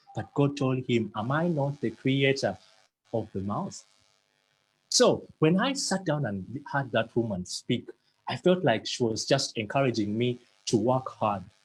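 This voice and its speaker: Speech broken by long, frequent pauses, delivered at a fairly slow pace. The voice is somewhat breathy, with lively intonation. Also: man, medium pitch for a man. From Uganda. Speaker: motivational speaker. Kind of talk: motivational talk.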